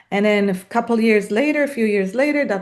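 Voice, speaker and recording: With a non-native accent, a woman speaks at a fairly high pitch with ordinary pitch variation. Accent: noticeable foreign. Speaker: salon business founder. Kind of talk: podcast interview. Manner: halting, many fillers.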